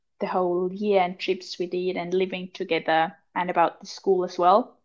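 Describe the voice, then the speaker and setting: A woman talks at a moderate pace. She has an Austrian accent. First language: German. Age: 20s. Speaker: podcast co-host, wilderness guide. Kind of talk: casual chat.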